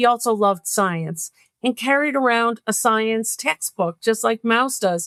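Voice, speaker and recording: A woman's fairly high-pitched, ordinary speaking voice at a fairly slow pace with lively intonation, in a dry, close sound with no echo and a very clean recording with a silent background. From New York State, US. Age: 60s. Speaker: children's author. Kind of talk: interview.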